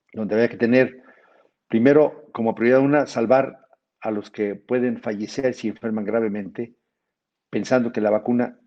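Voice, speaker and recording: A man's voice sits at a medium pitch with fairly even intonation. He keeps a moderate pace. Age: 60s. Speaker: physician and federal legislator. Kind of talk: webinar lecture.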